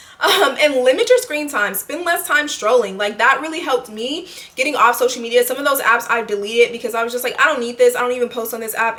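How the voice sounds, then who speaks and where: Amid noticeable background noise, a woman with a high pitch talks at a fairly quick pace. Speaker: lifestyle vlogger. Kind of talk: casual monologue to camera. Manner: halting, self-correcting.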